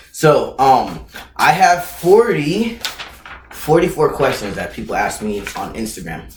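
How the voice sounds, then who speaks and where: There is audible room echo as a man talks in an animated tone with very wide pitch swings. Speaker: YouTuber answering viewer questions. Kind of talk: casual Q&A vlog. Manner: loud.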